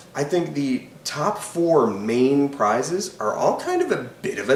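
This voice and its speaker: Over noticeable background noise and audible room echo, a man with a fairly high pitch speaks at a very slow pace, his voice making very wide pitch swings. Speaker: film critic YouTuber. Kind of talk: casual commentary. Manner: hesitant with fillers.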